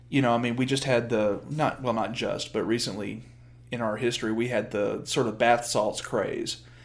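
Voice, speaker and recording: Room echo is audible as a man with an American accent talks in a monotone, flat intonation. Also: medium pitch for a man, moderate pace. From US Deep South. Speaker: aspiring TV writer, podcast co-guest. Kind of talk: casual chat.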